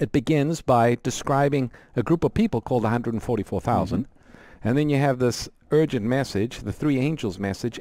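A man's dark, mellow voice with ordinary pitch variation comes through as a dry sound with no echo. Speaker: radio program host. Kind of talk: explanatory Bible teaching on call-in show. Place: studio. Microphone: headset.

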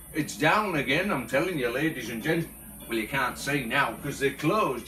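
Clear music plays in the background as a man speaks. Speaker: home vlogger. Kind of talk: casual vlog chat. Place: home room. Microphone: phone near.

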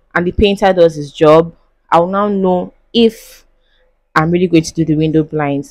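A woman's fairly low voice at a moderate pace, with ordinary pitch variation, a quiet background and a dry sound with no echo. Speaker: lifestyle vlogger. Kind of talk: casual vlog chat. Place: home room.

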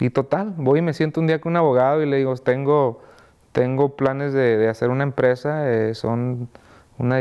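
The background is quiet as this man talks with fairly even intonation and a moderate pace. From Mexico. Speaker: music label founder; interviewee. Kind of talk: interview. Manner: halting, many fillers and repeats. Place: studio.

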